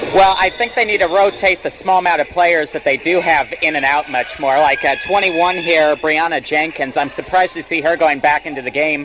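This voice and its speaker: A man with a fairly high pitch talks at a fairly quick pace with hardly any pauses and ordinary pitch variation over noticeable background noise. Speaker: radio sports color commentator. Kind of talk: live radio sports color commentary.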